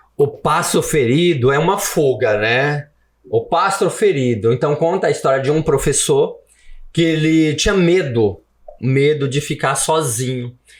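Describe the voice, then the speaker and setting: Somewhat breathy and fairly high-pitched, a man speaks at a fairly slow pace with ordinary pitch variation and very even loudness. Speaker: author and former immigrant worker. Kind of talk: podcast interview. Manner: animated.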